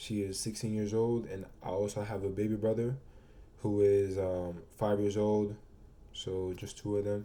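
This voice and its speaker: Audible room echo surrounds a man speaking in an American accent at a moderate pace. His tone is dark and mellow, and his intonation is flat and monotone. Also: fairly low pitch for a man. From Brooklyn, New York. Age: 20s. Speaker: college student. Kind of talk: mock job interview presentation. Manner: halting, many fillers.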